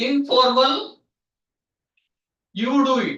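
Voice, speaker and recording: The man's voice is extremely high in pitch, raised and projected. Its tone is bright and sharp. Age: 50s. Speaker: professor. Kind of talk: lecture. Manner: loud; halting.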